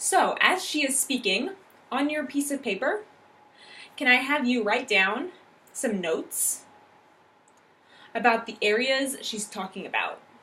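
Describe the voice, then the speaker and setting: Speaking with an American accent, a woman uses a raised, projected voice that is high-pitched, bright and sharp, with very wide pitch swings. Her pace is fairly slow with long, frequent pauses, and room echo is audible. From US Midwest. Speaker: English teacher. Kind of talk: classroom lesson. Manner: clear, instructive.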